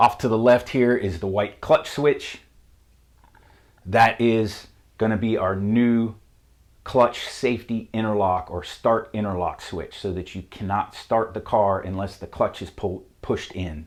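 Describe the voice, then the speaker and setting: A man with a Southern US accent speaks fairly slowly at a medium pitch, his intonation fairly even. His loudness swings widely on a very clean recording with a silent background. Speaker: auto mechanic. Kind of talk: tutorial.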